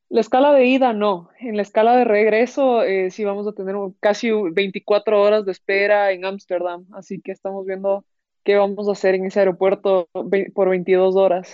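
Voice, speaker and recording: At a moderate pace, a normal speaking voice carries fairly even intonation. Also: woman, medium pitch for a woman. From Ecuador, Quito. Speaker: professional golfer. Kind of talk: interview.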